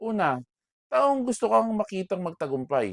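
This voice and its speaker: A man with a high-pitched voice, recorded very cleanly against total silence, with a dry, close sound and no echo. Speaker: vlogger and bakery owner. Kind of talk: personal talk to camera. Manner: loud voice.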